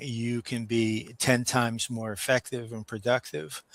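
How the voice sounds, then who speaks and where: A man speaks with a New York accent at a medium pitch, his intonation flat and monotone. The recording is very clean and dry, close with no echo and a silent background. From New York, Brooklyn. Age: 60s. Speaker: business owner. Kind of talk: interview. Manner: halting, many fillers.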